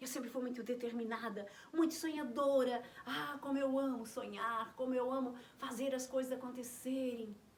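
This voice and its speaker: At a moderate pace, a woman speaks in a high pitch with fairly even intonation and audible room echo. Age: 60s. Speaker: naturopathy teacher. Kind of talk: health talk to camera.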